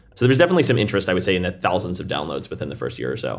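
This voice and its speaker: A man's voice with music in the background. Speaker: startup founder. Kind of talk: casual interview.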